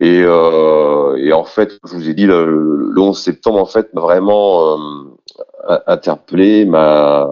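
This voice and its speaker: A man at a very slow pace, very deep and low in pitch, with fairly even intonation. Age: 40s. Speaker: trade unionist and activist. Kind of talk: testimony.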